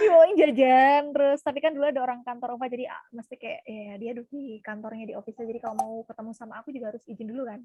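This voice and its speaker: A woman with a high voice talks at a very fast pace with hardly any pauses, her energetic delivery showing ordinary pitch variation and big swings in loudness in a dry, close sound with no echo. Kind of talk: casual interview.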